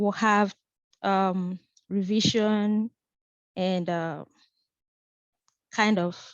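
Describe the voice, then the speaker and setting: A woman talks with a non-native accent. Her pitch is medium, with ordinary variation. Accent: noticeable non-native. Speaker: physics instructor. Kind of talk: online lecture. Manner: hesitant, with fillers.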